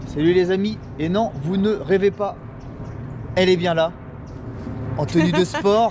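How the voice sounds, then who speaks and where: Against noticeable background noise, a man with a high pitch speaks at a fairly slow pace with long, frequent pauses and ordinary pitch variation. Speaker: amateur runner and video blogger. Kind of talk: casual vlog talk. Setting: outdoors at race start.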